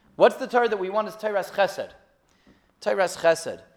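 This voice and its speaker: This man has an American accent. He talks at a fairly quick pace. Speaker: rabbi. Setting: congregation gathering after a study session.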